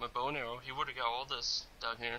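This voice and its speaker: A man talking at a moderate pace. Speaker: gaming YouTuber. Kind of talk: gameplay commentary.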